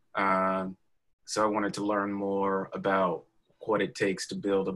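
In a very clean recording with a silent background, a man with an American accent speaks at a fairly slow pace. His pitch is fairly low and his intonation is monotone and flat. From US South, Alabama. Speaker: city council member and activist. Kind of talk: interview.

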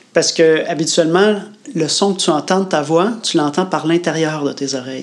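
Speaking with a Quebec accent, a man uses a fairly high pitch and ordinary pitch variation against noticeable background noise. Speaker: podcast co-host, workshop leader. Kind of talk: casual chat.

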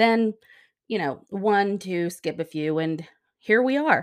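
A woman uses a normal speaking voice at medium pitch with lively intonation. She speaks at a fairly slow pace on a very clean recording with a silent background. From US, moved around; born Texas Panhandle. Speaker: podcast host. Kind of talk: scripted monologue. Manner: warm, gentle.

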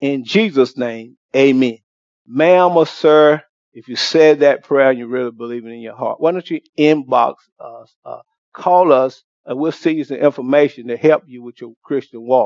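A man with an unremarkable speaking voice talks at a moderate pace in a fairly high pitch, with ordinary pitch variation and big swings in loudness. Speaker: pastor. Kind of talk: altar call prayer. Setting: church.

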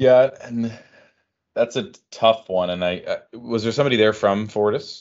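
A plain, everyday voice belongs to a man with a Canadian accent, medium in pitch with ordinary pitch variation. He speaks at a moderate pace. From Canada. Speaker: energy podcast host. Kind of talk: casual chat.

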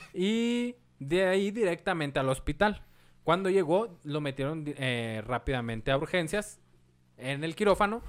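A man with a Mexican accent talks at a fairly high pitch, swinging his pitch very widely. The recording is very clean, with a silent background. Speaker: podcast host and history storyteller. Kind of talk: history storytelling narration; casual chat.

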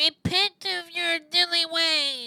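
The put-on character voice is nasal and extremely high. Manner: mock-solemn preaching.

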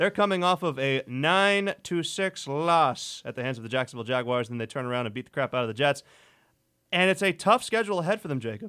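A man talks at a very fast pace with a fairly high pitch and an animated tone. His intonation is lively, and the recording is very clean with a silent background. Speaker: radio host. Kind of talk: radio sports talk show, banter. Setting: college radio studio. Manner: animated, quick, jokey.

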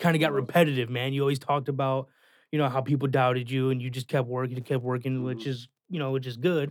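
Talking at a very fast pace, a man keeps a medium pitch and a flat, monotone intonation. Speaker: guest, friend giving album feedback. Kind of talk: casual chat. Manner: casual, laid-back.

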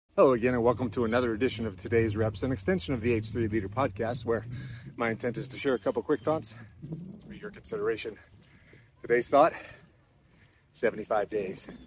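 Somewhat breathy, a man talks at a fairly quick pace with medium pitch and ordinary pitch variation. He leaves long, frequent pauses. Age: 50s. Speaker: podcast host. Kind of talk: short motivational monologue.

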